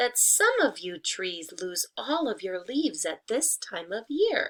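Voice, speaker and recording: A woman puts on a character voice, pitched high and delivered at a fairly slow pace. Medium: read story.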